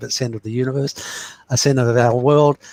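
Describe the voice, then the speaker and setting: In a normal speaking voice, a man talks at a fairly quick pace with fairly even intonation, the sound dry and close with no echo. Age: 60s. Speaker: astrologer. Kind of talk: interview.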